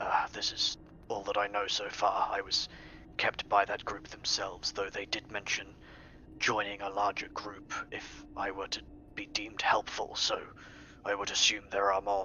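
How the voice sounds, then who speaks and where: This is a put-on character voice. It is whispered. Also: man, moderate pace. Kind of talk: in-character roleplay narration. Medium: actual play. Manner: formal, articulate, measured.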